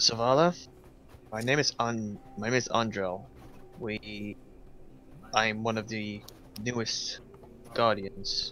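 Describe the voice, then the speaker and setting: Over clear background music, a man in a put-on character voice speaks at a medium pitch and fairly slow pace, with long, frequent pauses. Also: ordinary pitch variation. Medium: actual play.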